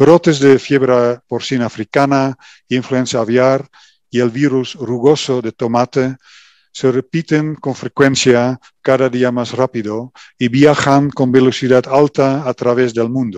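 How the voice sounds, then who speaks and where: In a Dutch accent, a man speaks fairly slowly at a medium pitch with fairly even intonation, his sound dry and close with no echo over a quiet background. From Netherlands. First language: Dutch (speaking Spanish). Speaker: company executive. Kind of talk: welcome speech. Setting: virtual event. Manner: halting.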